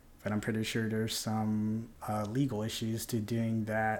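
An unremarkable speaking voice of a man, medium in pitch, at a moderate pace. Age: 30s. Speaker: podcast host. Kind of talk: casual monologue.

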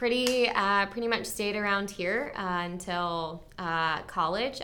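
A woman talks at a fairly slow pace in an unremarkable speaking voice. Her pitch is medium, with ordinary variation. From Maryland, US. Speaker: future missionary. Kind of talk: personal testimony.

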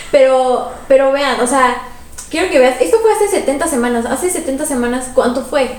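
Amid noticeable background noise and audible room echo, a woman speaks at a high pitch and moderate pace. Her tone is animated and her intonation lively. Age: 20s. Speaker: podcast co-host. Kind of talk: casual chat.

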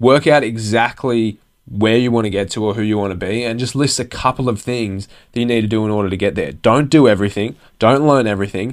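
On a very clean recording with a silent background, a man with an Australian accent talks at a fairly quick pace and a medium pitch. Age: 20s. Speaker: podcast host. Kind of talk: motivational monologue.

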